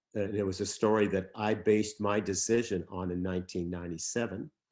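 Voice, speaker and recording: Against a quiet background, a man with an American accent talks very fast in a fairly low pitch with fairly even intonation. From Southern California. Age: 70s. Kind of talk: talk at a church service. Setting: church sanctuary with Zoom audience. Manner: halting, many fillers.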